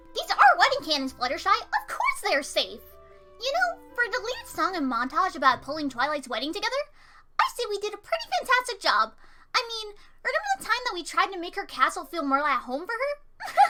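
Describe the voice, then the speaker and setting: A female-sounding put-on character voice, extremely high in pitch, moves at a fairly quick pace with very wide pitch swings. Music plays in the background. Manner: upbeat.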